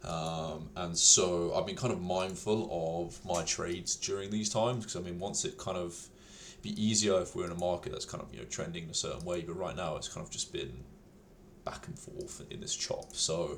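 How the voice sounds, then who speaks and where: A man speaks at a moderate pace. There is audible echo in the room. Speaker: day trader, video creator. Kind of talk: trading recap tutorial. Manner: casual, many fillers.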